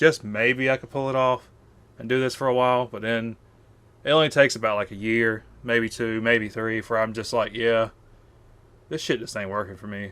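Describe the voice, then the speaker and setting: A man's bright, sharp voice at medium pitch, in a Southern US accent, with fairly even intonation, big swings in loudness and a moderate pace. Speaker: YouTuber. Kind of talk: one-take rant to camera. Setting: face cam video. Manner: casual, filler-heavy.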